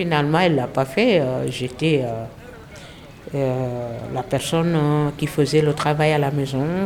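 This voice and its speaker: A woman's very deep, low voice with a Senegalese accent, ordinary pitch variation and a fairly slow pace. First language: Wolof (speaking French). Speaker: French language learner. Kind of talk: personal testimony.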